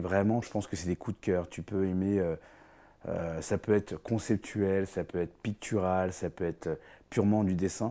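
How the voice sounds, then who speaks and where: In a very clean recording with a silent background, a man speaks with a very deep, low pitch and a dark, mellow tone. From France, Paris (Vietnamese parents). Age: 40s. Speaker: painter. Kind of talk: interview.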